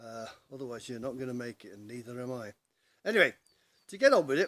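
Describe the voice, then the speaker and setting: Speaking fairly quickly with an English accent, a man at a medium pitch makes very wide pitch swings, the sound dry and close with no echo. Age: 60s. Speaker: pensioner vlogger. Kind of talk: casual vlog monologue. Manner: halting.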